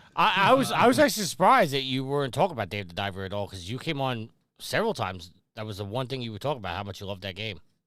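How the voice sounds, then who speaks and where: Talking very fast in a New York accent, a man at medium pitch shows very wide pitch swings, big swings in loudness and a bright, sharp tone. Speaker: gaming podcast co-host. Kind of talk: casual chat.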